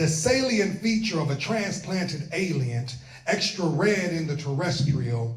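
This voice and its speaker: Noticeable background noise surrounds a man with a fairly high pitch. He talks at a fairly slow pace with lively intonation. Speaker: spoken word poet. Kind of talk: spoken word performance. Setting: live event audience.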